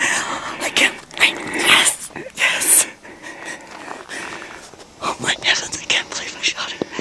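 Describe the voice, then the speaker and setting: A woman at a very slow pace with long, frequent pauses. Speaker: elk hunter. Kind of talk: excited outdoor reaction after a hunt. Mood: elated, overwhelmed. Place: forest. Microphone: camera far.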